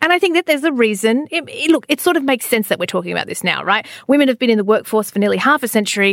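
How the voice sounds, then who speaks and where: Delivered at a very fast pace with lively intonation in an Australian accent, the voice has a dry, close sound with no echo. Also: woman, high pitch for a woman. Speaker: podcast host. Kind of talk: casual chat. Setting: studio. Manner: animated.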